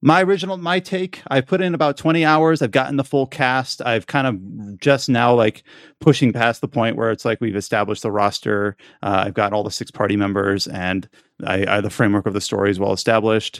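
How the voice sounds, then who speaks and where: A normal speaking voice with lively intonation, moving at a fairly quick pace. The recording is very clean and silent, with a dry, close sound and no echo. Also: man, medium pitch for a man. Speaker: podcast host. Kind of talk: casual chat.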